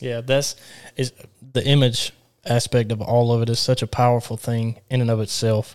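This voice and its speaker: A man with a Southern US accent talks at a moderate pace in a monotone, flat intonation, with a dry, close sound and no echo. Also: medium pitch for a man. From Alabama. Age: 20s. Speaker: podcast host and church youth leader. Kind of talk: casual chat.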